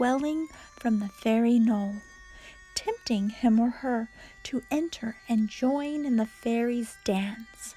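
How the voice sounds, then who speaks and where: A soft-spoken woman with a high pitch and ordinary pitch variation talks at a very slow pace. Music plays in the background. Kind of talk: read story.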